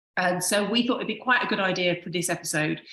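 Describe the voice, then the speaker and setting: A woman speaks with a British accent and ordinary pitch variation. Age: 50s. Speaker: podcast co-host, wedding accessories designer. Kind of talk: casual podcast chat.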